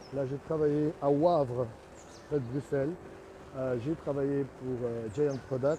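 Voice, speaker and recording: A man with a dark, mellow, somewhat breathy voice at a fairly high pitch speaks at a very slow pace with fairly even intonation and long, frequent pauses. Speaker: artist and sculptor, studio owner. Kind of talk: casual video commentary on own work. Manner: halting, with many hesitations.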